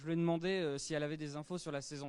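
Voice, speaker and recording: A man's voice with a fairly high pitch. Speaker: interviewer and interpreter. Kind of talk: interview. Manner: hesitant, many filler sounds.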